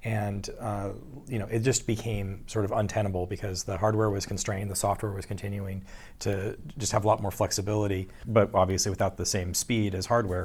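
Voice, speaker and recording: A man's fairly low, somewhat breathy voice, fairly quick and flat in a monotone. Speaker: software engineer. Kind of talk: interview.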